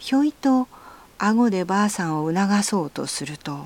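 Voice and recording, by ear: The reading aloud, in a natural voice, has lively intonation.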